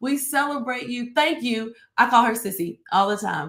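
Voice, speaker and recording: A woman talks at a moderate pace in a fairly high pitch. Her tone is animated. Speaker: church minister. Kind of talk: live-streamed devotional talk. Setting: home studio, live stream. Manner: loud.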